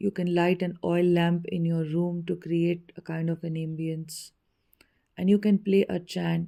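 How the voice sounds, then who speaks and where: With an Indian accent, a woman speaks at a fairly slow pace in a fairly low, dark, mellow voice and flat monotone intonation, on a very clean recording with a silent background. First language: Hindi. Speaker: spiritual teacher. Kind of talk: spiritual teaching talk.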